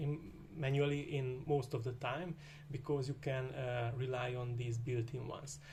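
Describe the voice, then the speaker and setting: In a room with audible echo, a man talks at a moderate pace in a medium pitch, somewhat breathy and with monotone, flat intonation. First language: Hungarian. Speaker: programming tutor. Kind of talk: tutorial. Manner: hesitant, many filler uhs.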